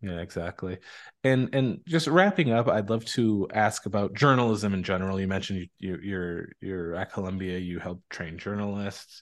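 The speaker is a man with an ordinary speaking voice, fairly low in pitch. He talks at a moderate pace with ordinary pitch variation against a quiet background. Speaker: podcast host. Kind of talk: interview intro and chat.

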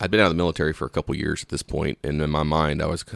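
In a Southern US accent, a man speaks with a very deep, low pitch and vocal fry, in a dry, close sound with no echo. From Louisiana. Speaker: police officer. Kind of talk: interview.

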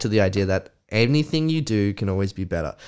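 With an Australian accent, a man talks at a moderate pace and makes very wide pitch swings. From Australia, Canberra. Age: 30s. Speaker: entrepreneur. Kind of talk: casual chat.

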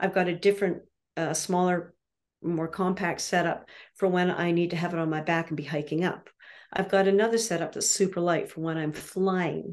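A woman in a Canadian accent, fairly low in pitch, with monotone, flat intonation. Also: moderate pace, quiet background. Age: 60s. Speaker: landscape painter and art instructor. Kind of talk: interview monologue. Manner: casual, with frequent fillers.

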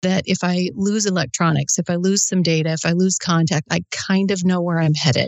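A woman's fairly low voice moves at a moderate pace, showing ordinary pitch variation. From US Midwest, South Dakota. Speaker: motorcycle traveller co-host. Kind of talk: casual chat. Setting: video call.

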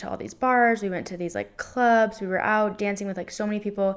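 A woman speaks with an American accent in an ordinary speaking voice. Her pitch is medium, her pace fairly quick, and her intonation fairly even. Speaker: podcast co-host. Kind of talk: casual chat.

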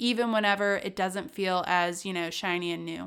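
In a very clean recording with a silent background, a woman uses a plain, everyday voice, speaking at a moderate pace with fairly even intonation. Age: 30s. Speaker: podcast host, entrepreneur. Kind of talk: casual solo podcast monologue.

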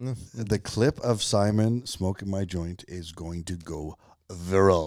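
A man mumbles at a very slow pace in a very deep, low voice with ordinary pitch variation. His loudness swings widely. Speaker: podcast co-host. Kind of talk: casual chat. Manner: mumbling.

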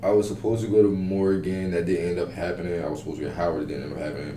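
Noticeable background noise and audible room echo surround a man whose very deep, low pitch shows ordinary pitch variation. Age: 20s. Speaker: college podcast host. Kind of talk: casual chat.

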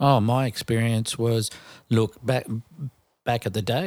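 Fairly slow speech in an Australian accent with fairly even intonation, a very clean recording with a silent background, and a dry, close sound with no echo. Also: man. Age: 40s. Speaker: podcast co-host. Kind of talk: casual chat.

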